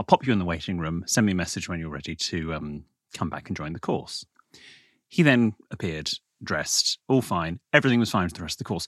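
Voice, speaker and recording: Very fast and very deep, a man with a Received Pronunciation accent speaks with big swings in loudness, in a dry, close sound with no echo on a very clean recording with a silent background. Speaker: podcast co-host. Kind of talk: casual chat. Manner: formal, old-fashioned BBC-style delivery.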